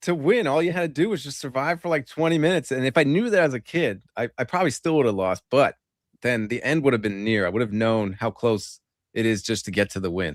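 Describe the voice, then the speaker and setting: Speaking at a very fast pace, a man swings his pitch very widely. The sound is dry and close with no echo, on a very clean recording with a silent background. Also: medium pitch for a man. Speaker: live stream host. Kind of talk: casual chat. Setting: live stream.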